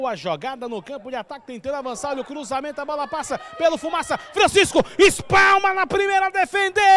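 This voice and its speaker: With a raised, projected voice, a man speaks at an extremely high pitch. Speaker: football commentator. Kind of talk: live football commentary. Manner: animated, breathless, with bursts of laughter.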